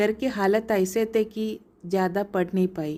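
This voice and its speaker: In a Malayalam accent, a woman speaks at medium pitch with a dark, mellow tone and fairly even intonation, on a very clean recording with a silent background. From Kerala, India (Thrissur). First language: Malayalam (speaking Hindi). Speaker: entrepreneur. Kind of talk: scripted narration.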